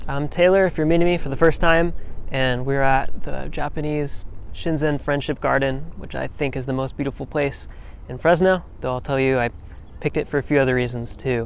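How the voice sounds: A man speaks at medium pitch and a moderate pace. His intonation is fairly even, with vocal fry.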